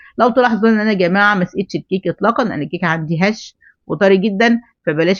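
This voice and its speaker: A woman talks at a very fast pace. Her pitch sits in the middle range. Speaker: baking instructor. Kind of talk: tutorial. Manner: hesitant fillers.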